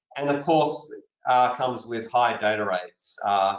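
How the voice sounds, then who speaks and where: This is a man with an Australian accent. He speaks at a moderate pace. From Australia, Sydney. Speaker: wireless research leader. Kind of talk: panel discussion.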